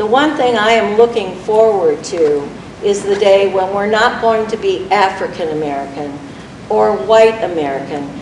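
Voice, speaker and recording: With audible room echo and noticeable background noise, a woman at medium pitch talks at a moderate pace with lively intonation. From Germany, Berlin. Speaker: audience member. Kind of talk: audience question. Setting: stage with audience.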